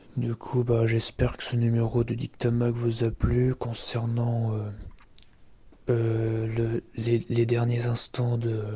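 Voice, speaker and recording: A man speaks very slowly with long, frequent pauses and flat, monotone intonation. His tone is dark and mellow, and somewhat breathy. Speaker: amateur radio vlogger. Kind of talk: casual monologue. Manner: halting; soft-spoken.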